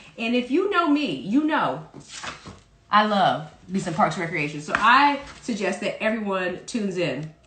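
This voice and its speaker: Noticeable background noise sits behind this recording. A woman speaks at a moderate pace with very wide pitch swings. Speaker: parody news anchor. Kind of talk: casual comedic parody news talk.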